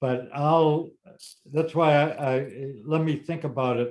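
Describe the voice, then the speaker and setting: Speaking very slowly with an American accent, a man lets his pitch vary in an ordinary way. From Massachusetts, Lexington area; Massachusetts. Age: 70s. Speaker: gardening expert, former greenhouse grower; interviewee. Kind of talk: casual Q&A conversation. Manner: halting, repeats words. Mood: thoughtful, recalling. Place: home room. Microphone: webcam.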